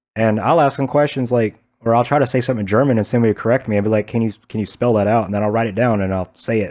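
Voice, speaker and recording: On a very clean recording with a silent background, a man with an American accent speaks at a medium pitch and a very fast pace. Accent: Southern American, reduced by speech therapy. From US South. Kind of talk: casual chat. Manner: animated.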